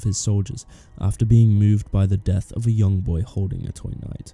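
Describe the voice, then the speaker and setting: Music plays in the background as a man speaks at a fairly quick pace. His pitch is fairly low and his intonation fairly even. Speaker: video essayist. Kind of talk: analytical video essay narration.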